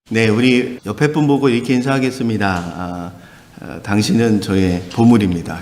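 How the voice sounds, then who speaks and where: A man speaks at medium pitch and a moderate pace, with ordinary pitch variation. His loudness swings widely, and the room echo is audible. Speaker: pastor. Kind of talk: sermon. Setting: church. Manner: animated.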